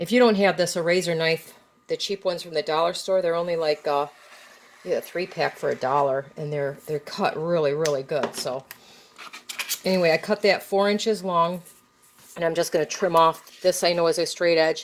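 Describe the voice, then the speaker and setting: A woman with a fairly low pitch talks at a fairly quick pace in fairly even intonation, with noticeable background noise behind her. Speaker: crafter. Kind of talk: tutorial. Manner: fast; casual.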